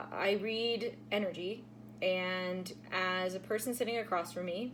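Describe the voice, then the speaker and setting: A woman talks at a fairly slow pace. Her pitch is medium, with ordinary pitch variation. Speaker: tarot reader. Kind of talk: casual vlog talk to viewers. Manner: halting, many fillers.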